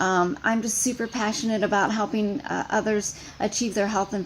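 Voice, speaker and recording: Fairly quick speech from a woman at a medium pitch, noticeable background noise behind her. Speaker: fitness coach. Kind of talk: team training call. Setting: outdoors on front porch. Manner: fast.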